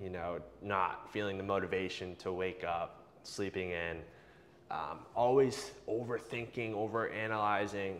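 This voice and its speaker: A man speaks in an unremarkable speaking voice, fairly low in pitch, with ordinary pitch variation. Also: fairly slow pace. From US, Boston area. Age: 20s. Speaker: breathwork instructor. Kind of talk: casual interview.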